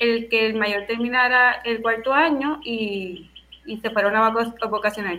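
A woman's high-pitched voice at a very slow pace. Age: 30s. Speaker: teacher and doctoral student. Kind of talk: casual panel discussion. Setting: Skype call.

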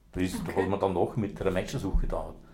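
This man speaks at a fairly quick pace. His voice is somewhat breathy. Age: 60s. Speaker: retired police dog handler. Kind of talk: casual interview. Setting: home kitchen.

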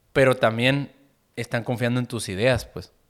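A man with a northern Mexican accent speaks at a moderate pace and fairly even intonation on a very clean recording with a silent background. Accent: northern Mexican (Sonora). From Sonora, Mexico (Caborca). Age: 20s. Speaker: musician. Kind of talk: casual chat.

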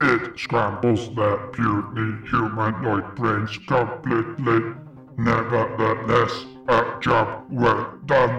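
A booming, put-on character voice talks at a very slow pace with slight echo. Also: man, medium pitch for a man. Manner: cold, formal, clipped.

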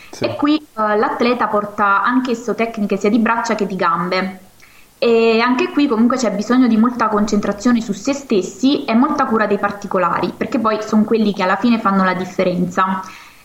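Fairly high-pitched, a woman talks at a fairly quick pace with ordinary pitch variation. Background noise is noticeable. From Marcianise, Campania. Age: 20s. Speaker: karate athlete. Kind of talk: interview.

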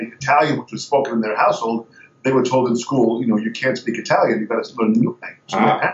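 Speaking at a very fast pace, a man with an American accent has a medium pitch. His loudness swings widely. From Long Island, New York. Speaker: drummer and drum teacher. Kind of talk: interview. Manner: animated.

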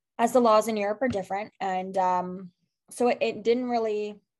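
Here a woman has an unremarkable speaking voice at medium pitch. She keeps a moderate pace and fairly even intonation. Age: 20s. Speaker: sober community founder. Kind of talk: casual interview.

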